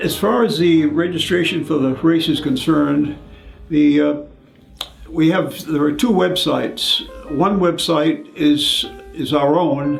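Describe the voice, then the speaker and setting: A man speaks at a fairly slow pace in a fairly high pitch, his pitch varying in an ordinary way, with music playing in the background. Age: 80s+. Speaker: masters runner and race organiser. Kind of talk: interview answer. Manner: hesitant, with frequent fillers.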